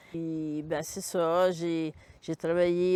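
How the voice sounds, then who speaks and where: A woman's fairly low voice, monotone and flat, at a very slow pace. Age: 70s. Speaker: retired cancer-care worker. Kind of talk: personal testimony interview. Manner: halting, with fillers.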